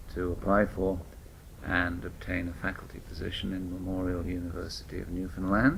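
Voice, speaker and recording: A man with a British accent has a very deep, low pitch and vocal fry. He keeps a moderate pace with ordinary pitch variation. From United Kingdom. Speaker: family physician and researcher. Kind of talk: interview.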